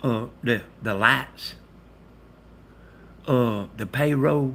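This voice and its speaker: Talking at a very slow pace, a man with a Southern US accent has a medium pitch, ordinary pitch variation and a bright, sharp tone. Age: 60s. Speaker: live streamer. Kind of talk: casual chat. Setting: livestream. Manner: animated.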